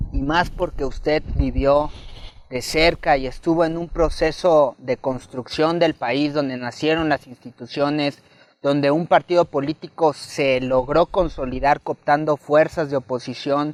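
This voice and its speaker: A man with a plain, everyday voice talks at a fairly high pitch and a fairly slow pace, his intonation fairly even. The sound is dry and close, with no echo. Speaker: interviewer. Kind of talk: interview. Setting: literary festival.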